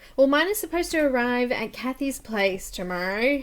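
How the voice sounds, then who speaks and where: A woman with an Australian accent speaks at a fairly slow pace, her pitch swinging very widely. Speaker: coloring livestream host. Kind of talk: casual livestream chat. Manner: chatty, cheerful.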